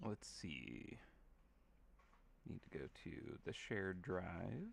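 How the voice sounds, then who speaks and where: Mumbling at a very slow pace, a man uses a very deep, low voice with vocal fry and very wide pitch swings. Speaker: game artist hosting live stream. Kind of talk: casual live stream chat while painting. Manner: casual, filler-heavy.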